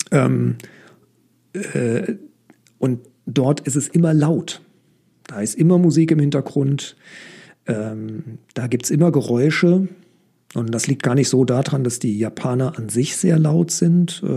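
At a very slow pace with long, frequent pauses, a man speaks in a fairly high pitch with a dark, mellow, somewhat breathy tone. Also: ordinary pitch variation. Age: 40s. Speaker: mechanical engineer. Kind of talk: reading aloud; casual interview. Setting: room with open window. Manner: halting.

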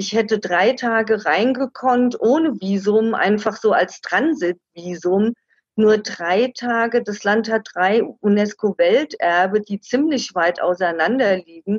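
A woman's fairly high voice at a very slow pace, with ordinary pitch variation and a dry, close sound with no echo. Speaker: travel author. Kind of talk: interview.

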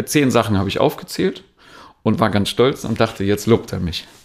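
A man speaks in a calm tone. His pitch varies in an ordinary way. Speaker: dance trainer. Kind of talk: interview.

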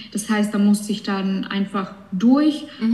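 A woman talks with fairly even intonation in an unremarkable speaking voice. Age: 20s. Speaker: cancer patient, bank clerk. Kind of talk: casual chat.

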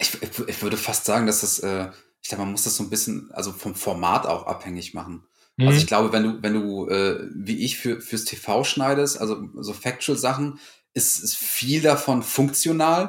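A man with an ordinary speaking voice, medium pitch and lively intonation, at a moderate pace, on a very clean recording with a silent background. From Lower Rhine region, Germany, near Dutch border. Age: 30s. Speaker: freelance video editor. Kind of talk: casual interview chat.

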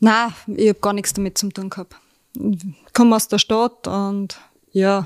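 A woman speaks at a medium pitch and a fairly slow pace in a flat monotone, recorded very cleanly against a silent background with a dry, close sound and no echo. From Austria, Styria (Kapfenberg). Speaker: sheep farmer. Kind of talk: casual interview. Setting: at a kitchen table.

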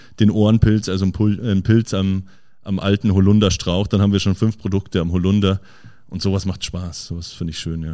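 A man speaks at a fairly quick pace in a very deep, low, dark and mellow voice with monotone, flat intonation. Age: young. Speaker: chef. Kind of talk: interview. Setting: in his restaurant.

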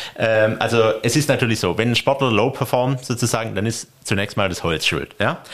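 A man speaks at a medium pitch. His is an unremarkable speaking voice. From Stuttgart, Germany. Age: 40s. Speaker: sports referee and tax advisor. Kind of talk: interview.

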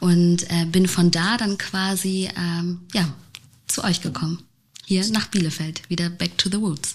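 Speaking at a fairly slow pace, a woman uses a plain, everyday voice, fairly low in pitch and fairly even in intonation. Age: 20s. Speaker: podcast host, agency CEO. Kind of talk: casual interview. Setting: studio.

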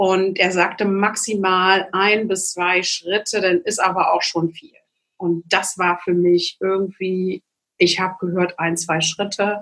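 This woman speaks very slowly in a monotone, flat delivery. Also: medium pitch for a woman. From East Germany. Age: 50s. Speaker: naturopath and psychological counsellor. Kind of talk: interview.

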